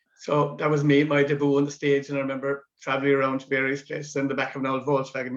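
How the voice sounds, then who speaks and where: A man's fairly high voice in a Cork accent, very fast and monotone, with flat intonation. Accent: Cork Irish. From West Cork, Ireland. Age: 70s. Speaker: amateur drama veteran. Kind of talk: interview reminiscence.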